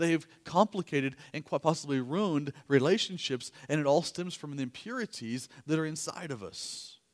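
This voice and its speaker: A man with a plain, everyday voice talks at a fairly quick pace and a fairly high pitch, with lively intonation, big swings in loudness, and hardly any pauses. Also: dry, close sound with no echo. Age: 40s. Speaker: pastor. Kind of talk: sermon. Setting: church.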